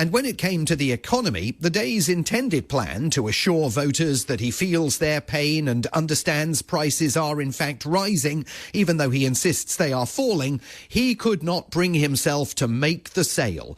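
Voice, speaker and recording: Delivered at a moderate pace with lively intonation and very even loudness, it is a plain, everyday voice. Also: man, fairly high pitch for a man. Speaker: journalist, US correspondent reporting for a UK radio station. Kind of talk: radio news commentary segment.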